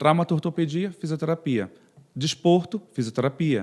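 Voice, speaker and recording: A man speaks at a high pitch with ordinary pitch variation. He has a northern Brazilian accent. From northern Brazil, Pará (Castanhal/Belém). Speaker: physiotherapist. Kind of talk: podcast interview.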